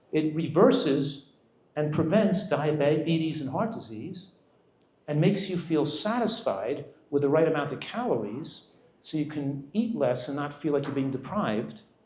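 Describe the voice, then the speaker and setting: Lively intonation marks a man's fairly high-pitched voice, heard with audible room echo. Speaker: physician giving a nutrition talk. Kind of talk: lecture. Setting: restaurant event with audience. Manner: fast.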